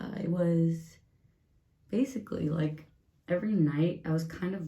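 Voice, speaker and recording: A soft-spoken woman talks in a dark, mellow tone. Room echo is audible. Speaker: beauty vlogger. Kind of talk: casual get-ready-with-me vlog. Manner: quiet, soft-spoken.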